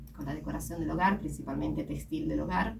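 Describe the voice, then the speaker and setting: The woman's voice comes with audible room echo and noticeable background noise. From Italy. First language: Italian (speaking Spanish). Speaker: company executive. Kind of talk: radio interview.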